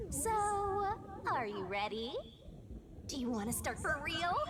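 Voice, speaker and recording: A put-on character voice with fairly high pitch speaks at a moderate pace over clear background noise. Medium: machinima. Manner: teasing, playful.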